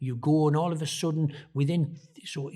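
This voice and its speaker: A man talks in a dark, mellow, somewhat breathy voice. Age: 60s. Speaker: former football manager. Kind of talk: podcast interview. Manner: hesitant with fillers.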